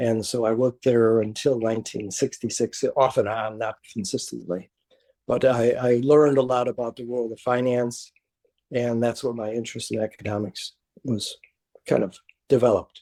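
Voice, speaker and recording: A man's dark, mellow voice with an American accent, medium in pitch, monotone and flat in intonation, at a moderate pace. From Chicago, near south side. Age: 80s+. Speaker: retired professor. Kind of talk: oral history interview. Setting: video call. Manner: halting, many fillers.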